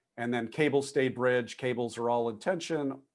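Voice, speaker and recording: Against a quiet background, a man with medium pitch talks at a fairly quick pace in an unremarkable speaking voice. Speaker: structural engineering lecturer. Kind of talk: lecture.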